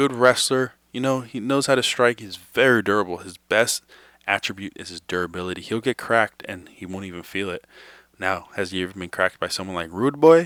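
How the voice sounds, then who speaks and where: A man's normal speaking voice with an American accent, fairly low in pitch and fairly quick, with lively intonation and a dry, close sound with no echo. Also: very clean recording, silent background. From New York. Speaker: MMA betting analyst. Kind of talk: fight predictions breakdown. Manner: casual.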